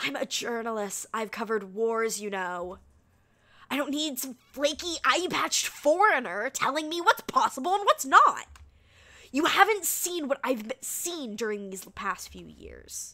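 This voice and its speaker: A woman speaks at a moderate pace in a put-on character voice, pitched high. Her voice is raised and projected, with very wide swings in pitch. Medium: virtual streamer. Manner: snippy, condescending, brusque.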